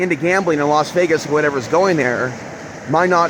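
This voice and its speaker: Background noise is clearly audible. Over it, a man talks rather quickly. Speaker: spiritual vlogger. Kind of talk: casual monologue. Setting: outdoors by a river. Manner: fast; loud.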